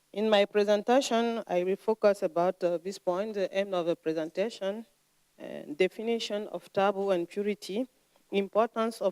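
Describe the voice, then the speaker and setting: A woman's medium-pitched voice with a dark, mellow tone and a non-native accent, moderate pace, fairly even intonation, dry and close with no echo. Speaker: lecturer. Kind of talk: lecture. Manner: halting, frequent hesitations.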